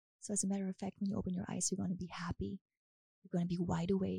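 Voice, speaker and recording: A woman with a German accent speaks at a very fast pace, her medium-pitched voice somewhat breathy and dark, mellow in tone, the sound dry and close with no echo. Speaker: hypnotist. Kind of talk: hypnosis session; casual chat.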